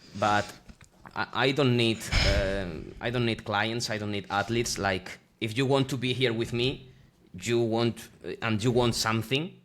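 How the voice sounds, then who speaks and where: Speaking with a Spanish accent, a man talks at a medium pitch and moderate pace, with fairly even intonation and long, frequent pauses. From Spain, Extremadura. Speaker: streetlifting athlete and coach. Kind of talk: casual interview chat. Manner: halting, searching for words.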